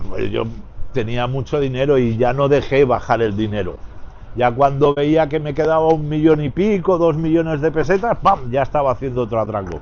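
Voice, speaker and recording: Speaking at a moderate pace, a man with a fairly high pitch has a plain, everyday voice. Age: 60s. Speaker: former bank robber. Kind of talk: interview.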